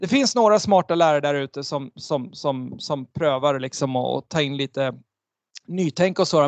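A man uses an ordinary speaking voice with lively intonation at a moderate pace. The sound is dry and close, with no echo. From Sweden. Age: 40s. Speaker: entrepreneur and author. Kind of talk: interview. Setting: video call.

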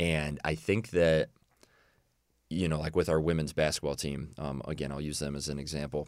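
A man's very deep, low voice with vocal fry, fairly even intonation and a moderate pace. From Illinois. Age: 20s. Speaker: college strength and conditioning coach. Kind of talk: podcast interview.

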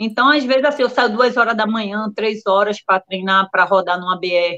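A woman with an ordinary speaking voice talks at a moderate pace with lively intonation. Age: 40s. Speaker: ultramarathon runner. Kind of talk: casual live-stream interview.

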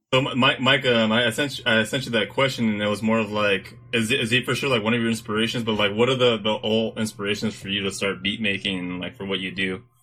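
With music in the background, a man with an American accent and a medium pitch talks at a very fast pace with hardly any pauses. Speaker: podcast host. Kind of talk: casual chat.

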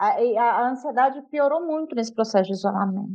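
It's a normal speaking voice with ordinary pitch variation. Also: woman. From rural Minas Gerais, Brazil. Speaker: literature teacher. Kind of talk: casual chat.

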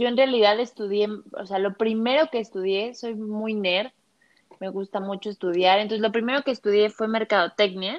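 At a moderate pace, a woman talks in a fairly high pitch with an unremarkable speaking voice. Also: fairly even intonation. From Mexico City. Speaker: image consultant. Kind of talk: interview.

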